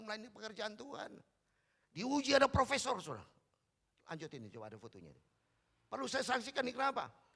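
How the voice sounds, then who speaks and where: Raising and projecting his voice, a man talks at a very fast pace. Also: long, frequent pauses. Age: 60s. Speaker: pastor. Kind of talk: sermon. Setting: church.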